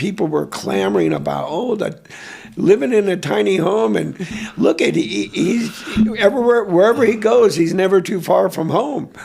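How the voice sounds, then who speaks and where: At a moderate pace, a man speaks in a high pitch with very wide pitch swings. Noticeable background noise is present. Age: 70s. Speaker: artist. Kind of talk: interview. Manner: halting.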